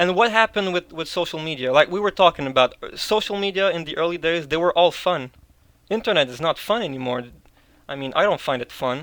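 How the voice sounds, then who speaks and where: A man speaks at a fairly high pitch. His pace is fairly quick. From Quebec, Canada. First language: French. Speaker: video producer, discord server member. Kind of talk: interview. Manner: casual, hesitant with repetitions.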